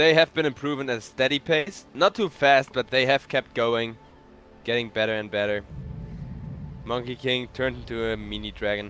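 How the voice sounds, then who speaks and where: Music plays behind a man speaking at a moderate pace. His voice sits at a medium pitch with ordinary variation. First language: German. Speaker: esports caster. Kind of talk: live commentary. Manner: animated.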